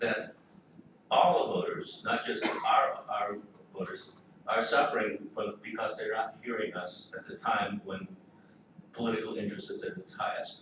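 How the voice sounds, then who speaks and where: There is audible room reverberation as a man talks at a medium tempo. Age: 70s. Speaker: political activist. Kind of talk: panel talk. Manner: halting, many repetitions.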